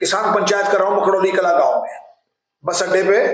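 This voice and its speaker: A man's voice with audible room echo. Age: 70s. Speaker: politician. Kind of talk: press interview.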